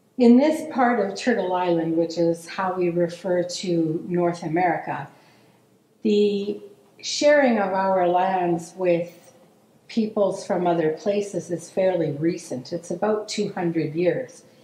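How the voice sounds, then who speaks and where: Audible room echo surrounds a woman's fairly low voice with ordinary pitch variation. She speaks very slowly. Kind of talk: formal land welcome speech. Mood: calm, measured. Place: studio.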